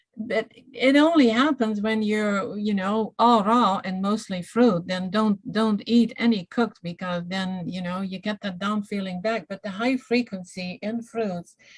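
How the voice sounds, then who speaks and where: A woman with a non-native accent talks at a fairly slow pace with hardly any pauses. Her medium-pitched voice shows ordinary pitch variation. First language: not English. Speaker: detox specialist and iridologist. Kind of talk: casual health Q&A livestream.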